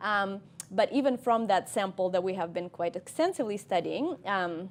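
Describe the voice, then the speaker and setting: She speaks with a Russian accent at a medium pitch for a woman. Her pace is moderate, and her pitch variation is ordinary. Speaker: cognitive scientist. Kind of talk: interview. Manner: hesitant, many ums.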